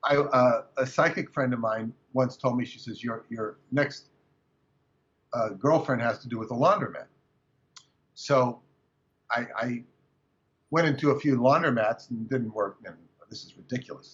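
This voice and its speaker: At a moderate pace with long, frequent pauses, a man with an American accent speaks at medium pitch, his loudness swinging widely. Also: fairly even intonation. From California. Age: 60s. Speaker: author and researcher. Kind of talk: interview. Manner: halting.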